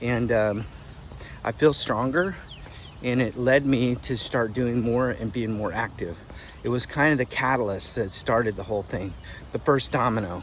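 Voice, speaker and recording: At a moderate pace with long, frequent pauses, a man speaks at medium pitch with ordinary pitch variation. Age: 60s. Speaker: fitness vlogger. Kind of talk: casual talk to camera.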